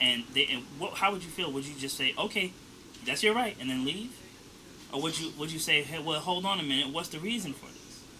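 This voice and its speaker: Noticeable background noise surrounds a man speaking at a fairly high pitch. His intonation is lively, with big swings in loudness. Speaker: podcast host. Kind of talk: interview question.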